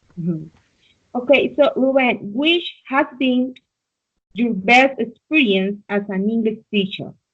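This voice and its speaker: A woman with a Spanish accent, fairly high in pitch, with lively intonation at a fairly slow pace. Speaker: English learner. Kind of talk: conversation practice interview.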